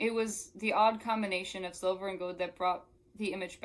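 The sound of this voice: An unforced reading voice with intonation that stays fairly even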